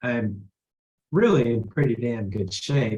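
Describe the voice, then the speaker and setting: At a fairly slow pace, a man with a somewhat breathy voice speaks at medium pitch. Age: 60s. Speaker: attorney. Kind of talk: testimony.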